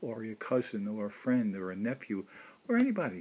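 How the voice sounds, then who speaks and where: Lively intonation from a man at medium pitch and a moderate pace. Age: 60s. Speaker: video blogger. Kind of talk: personal monologue. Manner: halting.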